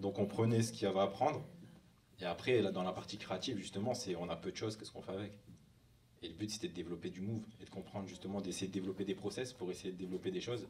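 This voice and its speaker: A man talks very fast at a fairly low pitch, with fairly even intonation. His voice is somewhat breathy, and audible room echo is present. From northern France, near Lille. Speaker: hip hop dancer. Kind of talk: conference talk. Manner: casual.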